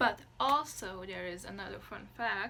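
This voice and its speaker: A woman speaks with a Lithuanian accent, with audible room echo around her voice. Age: 20s. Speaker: vlogger. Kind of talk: casual chat. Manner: halting, stops mid-sentence.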